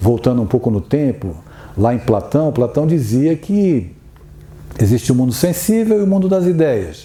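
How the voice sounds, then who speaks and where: A man's pitch swings very widely. He talks at a moderate pace. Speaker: spiritist lecturer. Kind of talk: lecture.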